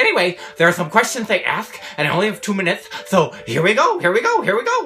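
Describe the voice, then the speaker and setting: Over clear background noise, a cartoonish character voice rattles along at a very fast pace with a fairly high pitch. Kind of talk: comedy sketch. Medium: puppet. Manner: upbeat, eager.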